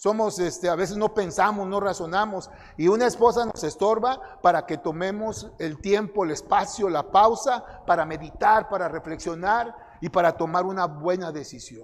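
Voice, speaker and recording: With a Mexican accent, a man speaks at a moderate pace in a high voice with ordinary pitch variation. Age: 60s. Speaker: conference speaker. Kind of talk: sermon.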